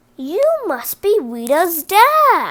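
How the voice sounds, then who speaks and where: A woman uses a put-on character voice at an extremely high pitch with very wide pitch swings. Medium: read story. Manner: earnest.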